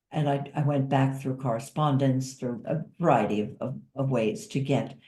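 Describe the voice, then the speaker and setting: Speaking at a fairly slow pace with fairly even intonation, a woman has a very deep, low pitch, a dark, mellow tone and a somewhat breathy quality, with audible room echo around her. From US, Italian-American family. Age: 70s. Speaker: author and caregiver. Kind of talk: interview.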